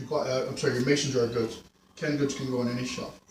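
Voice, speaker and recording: Audible room echo surrounds a man talking with an American accent. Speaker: video blogger. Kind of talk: casual vlog monologue.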